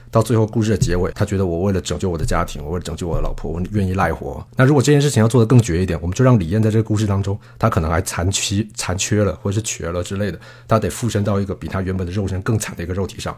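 A somewhat breathy, fairly low-pitched man at a very fast pace, with hardly any pauses and ordinary pitch variation. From Taiwan. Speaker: film director. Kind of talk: casual film discussion.

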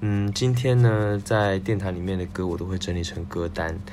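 Amid noticeable background noise and audible room echo, a man speaks at a moderate pace in a very deep, low pitch. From Taiwan. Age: 20s. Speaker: music podcast host. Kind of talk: solo music commentary. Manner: casual with frequent fillers.

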